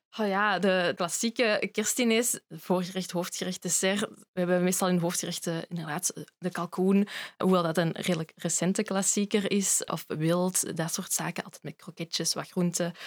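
An ordinary speaking voice from a woman at medium pitch, with fairly even intonation and a moderate pace, dry and close with no echo, on a very clean recording with a silent background. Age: 20s. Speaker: food historian. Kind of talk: casual chat.

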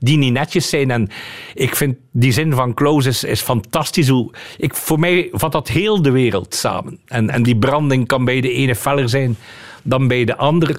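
A man's unremarkable speaking voice at medium pitch, with ordinary pitch variation and a fairly slow pace. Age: 50s. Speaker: lawyer. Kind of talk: radio interview.

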